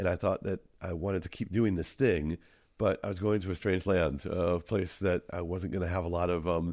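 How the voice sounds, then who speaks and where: In a quiet background, a man with an American accent talks at a moderate pace, with a very deep, low pitch and fairly even intonation. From Minnesota, US. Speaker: tour guide and content creator. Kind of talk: podcast interview. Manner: hesitant with fillers.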